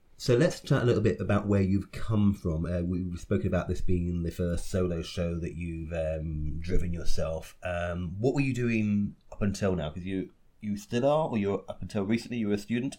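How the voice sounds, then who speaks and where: Speaking at a moderate pace with hardly any pauses, a man with a British accent has a very deep, low pitch and a dark, mellow tone. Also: ordinary pitch variation. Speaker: podcast host and theatre director. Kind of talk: casual interview chat.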